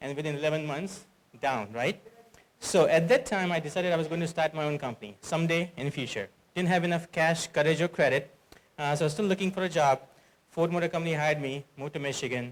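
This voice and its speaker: A man with an Indian accent speaks at a very fast pace. His pitch is fairly high, with ordinary variation. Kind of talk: conference talk.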